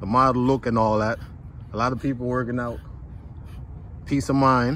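A man talks at a moderate pace in a medium pitch with fairly even intonation. The sound is dry with no echo, with light background noise. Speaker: fitness vlogger interviewer. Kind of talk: casual talk to camera. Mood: upbeat, encouraging. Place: open country. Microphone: phone near.

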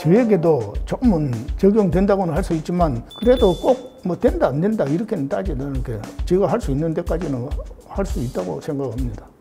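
A high-voiced man at a fairly quick pace, pitch swinging very widely, with clear music in the background. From South Korea. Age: 80s+. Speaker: elderly university freshman. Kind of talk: interview answer. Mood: calm, reflective. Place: classroom.

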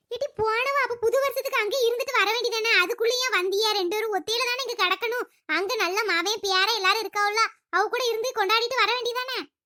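In a cartoonish character voice, a woman speaks at an extremely high pitch with fairly even intonation. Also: moderate pace. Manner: chatty, teasing.

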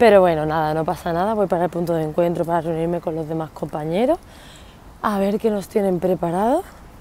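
Her voice has a dark, mellow tone and ordinary pitch variation, and the woman's recording sounds dry with no echo. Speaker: vlogger. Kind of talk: casual vlog chat. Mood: cheerful, laughing. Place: street. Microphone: earbuds.

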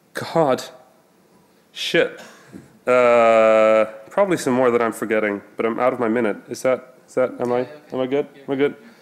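The man speaks at a moderate pace with ordinary pitch variation. Long pauses come often. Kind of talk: conference talk. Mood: joking, self-ironic. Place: stage.

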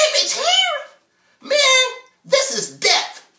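A man speaks with an American accent. The background is quiet, with audible room echo. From Chicago. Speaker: spoken word artist. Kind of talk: spoken word poetry performance. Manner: rhythmic, emphatic. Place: home room. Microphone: camera far.

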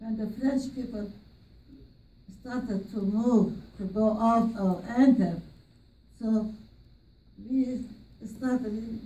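With an Armenian accent, a woman talks at a very slow pace with long, frequent pauses, her fairly high, somewhat breathy voice dark and mellow in tone, her intonation fairly even, and audible room echo around her. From Armenian from Aintab, Turkey. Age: 80s+. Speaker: genocide survivor. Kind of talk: interview answer. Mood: sombre, emotional recollection.

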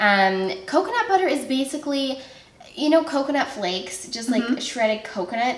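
A woman is speaking. Audible room echo is present. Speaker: guest. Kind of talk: casual cooking show chat. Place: kitchen.

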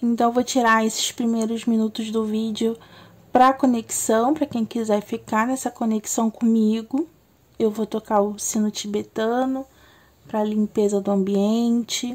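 Monotone, flat intonation from a woman, somewhat breathy, at a fairly high pitch and a fairly slow pace. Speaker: tarot reader. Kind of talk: tarot reading video intro.

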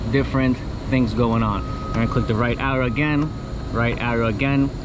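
A man talks at a fairly quick pace and medium pitch with fairly even intonation, over clearly audible background noise.

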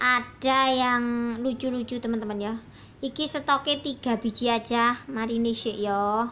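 In a high, bright and sharp tone, a woman speaks fairly slowly with monotone, flat intonation over light background noise. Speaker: online plant seller; plant seller. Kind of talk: sales pitch. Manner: casual. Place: garden. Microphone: phone near.

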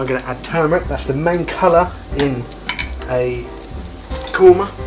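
Speaking at a fairly slow pace, a man is heard. Clear music plays in the background. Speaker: cooking show host. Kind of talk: tutorial. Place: kitchen.

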